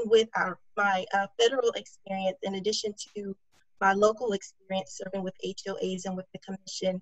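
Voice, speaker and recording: A woman with an American accent talks at a fairly quick pace. Her voice is somewhat breathy. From DeKalb County, Georgia, US South. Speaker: political candidate, chemist. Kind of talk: candidate forum statement.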